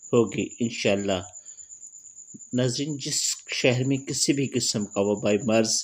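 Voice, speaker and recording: A man talks in a normal speaking voice at a medium pitch. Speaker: voice actor. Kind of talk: religious remedy narration.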